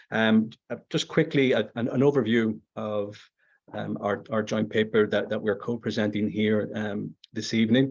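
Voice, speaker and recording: Speaking with a Belfast accent, a man uses fairly even intonation at a fairly low pitch, with vocal fry. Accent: Northern Irish, Belfast. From Northern Ireland, Belfast. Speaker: conference presenter, educator. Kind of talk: academic presentation. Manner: halting, many fillers and repetitions.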